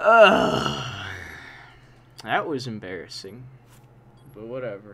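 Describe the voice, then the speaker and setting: The speaker goes very slowly while noticeable background noise stays audible. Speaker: gamer. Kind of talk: live game commentary. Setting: gaming session commentary. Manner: loud, frantic, exasperated, shouting and pleading in mock despair; animated, with outbursts of rage and yelling at opponents.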